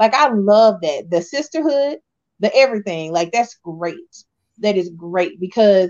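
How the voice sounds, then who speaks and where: In an American accent, a woman speaks at a fairly slow pace. Her pitch swings very widely. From Texas. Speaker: podcast co-host. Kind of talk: casual chat.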